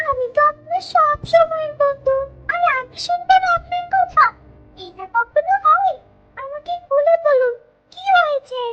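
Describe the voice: A cartoonish character voice at an extremely high pitch talks at a moderate pace.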